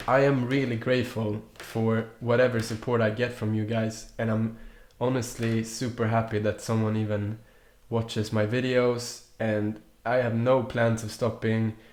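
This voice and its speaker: A man speaks in a Swedish accent at a fairly slow pace. His intonation is monotone and flat. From Sweden, Stockholm. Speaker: youtuber. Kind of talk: casual vlog chat. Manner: halting, many restarts.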